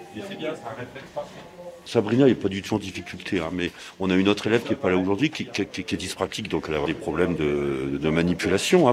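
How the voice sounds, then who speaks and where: With noticeable background noise behind him, a man with a very deep, low pitch talks at a fairly quick pace with lively intonation. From northern France, Aisne (Laon). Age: 60s. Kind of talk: interview.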